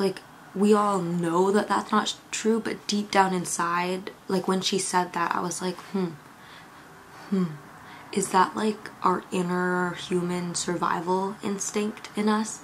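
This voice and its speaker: Speaking very slowly, a woman keeps a calm tone and a monotone, flat intonation. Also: medium pitch for a woman. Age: 20s. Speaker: YouTube creator and podcast host. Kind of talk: casual vlog talk to camera. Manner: calm, chatty.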